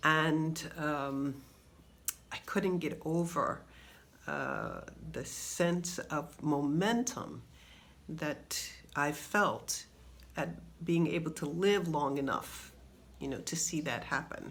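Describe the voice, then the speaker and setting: A woman's very deep, low voice with vocal fry, ordinary pitch variation, a very slow pace and long, frequent pauses in audible room echo. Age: 60s. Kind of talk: personal video commentary. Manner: halting, with many fillers.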